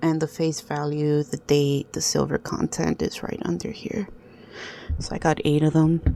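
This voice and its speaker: With a non-native accent, a woman speaks at a moderate pace. Her voice is very deep and low in pitch. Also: ordinary pitch variation. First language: not English. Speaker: coin collector video host. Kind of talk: casual show-and-tell tutorial. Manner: halting, many fillers.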